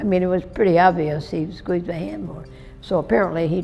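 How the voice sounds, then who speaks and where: A woman's fairly low voice with an American accent, at a fairly quick pace with ordinary pitch variation, music in the background. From upstate New York. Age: 80s+. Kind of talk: life story interview answer. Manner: cheerful.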